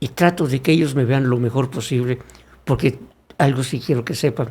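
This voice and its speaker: A man with a medium pitch and a somewhat breathy voice speaks at a moderate pace with fairly even intonation. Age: 60s. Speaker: former legislator and congress staff member, communicator. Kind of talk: podcast interview.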